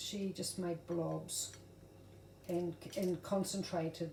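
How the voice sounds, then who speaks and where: A woman speaks very slowly with a New Zealand accent, her fairly low pitch held in a monotone, flat intonation over noticeable background noise. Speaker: craft tutorial creator. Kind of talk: tutorial. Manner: casual, with fillers and self-corrections.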